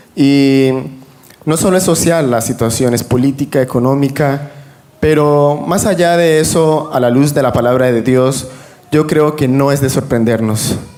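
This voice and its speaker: Over noticeable background noise, a man speaks at a fairly high pitch and a fairly slow pace. His intonation is fairly even and his loudness very even. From Venezuela. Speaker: religious panel guest. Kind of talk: religious panel discussion.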